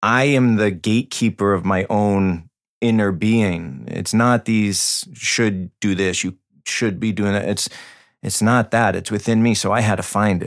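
A man with an American accent speaks at a fairly slow pace in a normal speaking voice, pitched fairly low with fairly even intonation. The recording is very clean, with a silent background. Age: 30s. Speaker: breath and meditation coach. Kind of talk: casual interview.

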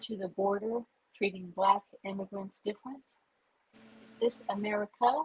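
The delivery is fairly slow, with fairly even intonation. The voice sounds somewhat breathy. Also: woman. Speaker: poet. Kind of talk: spoken word poetry. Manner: questioning, indignant rhetorical delivery.

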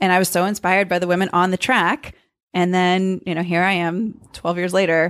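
A woman's monotone, flat intonation on a very clean recording with a silent background. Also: medium pitch for a woman, fairly quick pace. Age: 30s. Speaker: professional runner. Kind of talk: casual interview. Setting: in person, Cambridge, Massachusetts.

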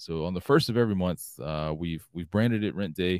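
With a Southern US accent, a man talks at a very fast pace and a very deep, low pitch, in a dry, close sound with no echo on a very clean recording with a silent background. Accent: Southern US (Georgia). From US South, Georgia. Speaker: loyalty program executive. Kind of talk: casual interview.

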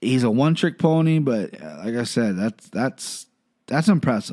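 Recorded very cleanly against a silent background, a man with a Midwestern US accent sounds animated, his pitch swinging very widely. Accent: US Midwest. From Ohio, US. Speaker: MMA podcast host. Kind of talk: solo podcast commentary. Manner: fast.

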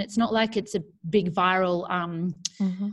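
An Australian accent from a woman. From New South Wales far north coast, Australia. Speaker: primary school teacher and online community founder. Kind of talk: casual interview. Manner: animated.

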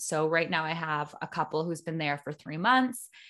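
Someone with a Canadian accent talks in a normal speaking voice at a moderate pace. The background is quiet. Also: woman. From Ontario, Canada. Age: 30s. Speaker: podcast host and entrepreneur. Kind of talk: interview conversation.

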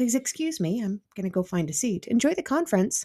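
A dark, mellow tone moves through very wide pitch swings on a very clean recording with a silent background. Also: woman. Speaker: podcast host. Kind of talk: interview.

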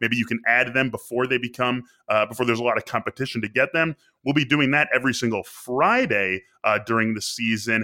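A man's plain, everyday voice at a medium pitch, fairly quick in pace, with fairly even intonation. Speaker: fantasy football host. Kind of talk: podcast discussion.

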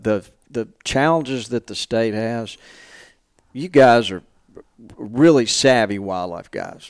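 A man with an Alabama accent, medium-pitched and fairly slow, with long, frequent pauses, lively intonation and big swings in loudness, over a very clean, silent background. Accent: Southern US (Alabama). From Alabama, Montgomery. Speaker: hunting industry marketing executive. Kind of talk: casual interview chat. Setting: small room at a convention.

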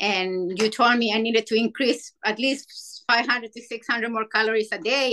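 A woman with a Spanish accent speaks at a moderate pace, her fairly high voice bright and sharp in tone, with ordinary pitch variation. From Chile. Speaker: amateur ultrarunner. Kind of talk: podcast interview.

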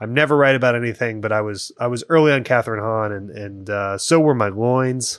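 Here is a man with a plain, everyday voice at medium pitch. He talks at a fairly quick pace with ordinary pitch variation and hardly any pauses. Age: 30s. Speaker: podcast guest. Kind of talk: casual chat.

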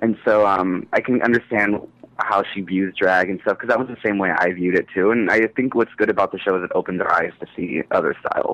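In a dry, close sound with no echo, a man with a normal speaking voice talks at a fairly quick pace with fairly even intonation. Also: fairly low pitch for a man. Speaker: caller. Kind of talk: casual chat. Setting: phone call.

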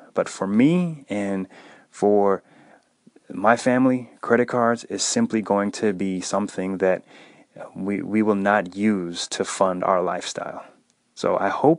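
A man's ordinary speaking voice, fairly low in pitch, at a fairly slow pace with ordinary pitch variation over a quiet background. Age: 30s. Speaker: personal finance podcast host. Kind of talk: solo podcast monologue.

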